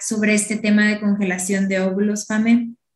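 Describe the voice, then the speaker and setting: A woman with a normal speaking voice and a fairly high pitch talks at a moderate pace. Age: 20s. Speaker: podcast host. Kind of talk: interview; scripted intro.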